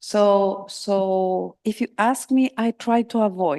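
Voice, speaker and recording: A dark, mellow tone with ordinary pitch variation, dry and close with no echo. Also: woman. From Argentina. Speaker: psychotherapist, invited conference speaker. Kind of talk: conference Q&A. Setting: conference hall with audience and interpretation. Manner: halting, with repetitions.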